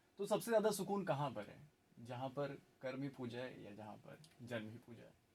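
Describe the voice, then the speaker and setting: A man with a medium pitch speaks at a moderate pace, somewhat breathy. His pitch swings very widely and his loudness shifts in big swings. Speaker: radio jockey. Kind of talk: radio interview host.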